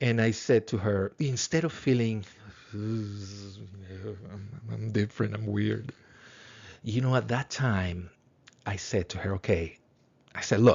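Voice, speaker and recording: With a Spanish accent, a man speaks very slowly at a fairly low pitch, somewhat breathy, with ordinary pitch variation and long, frequent pauses. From Latin America. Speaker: philosophy teacher. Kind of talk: lecture. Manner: halting, many repetitions.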